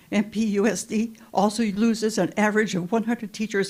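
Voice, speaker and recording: Here a woman speaks with an American accent. Her voice is somewhat breathy. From Monterey, California. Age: 80s+. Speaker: school volunteer. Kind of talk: public comment.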